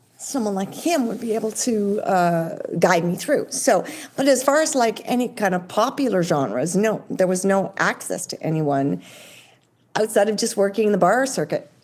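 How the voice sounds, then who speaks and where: With a Canadian accent, a woman speaks in an unremarkable speaking voice at medium pitch, using lively intonation at a moderate pace. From Ontario, Canada. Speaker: country pop singer. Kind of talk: interview answer.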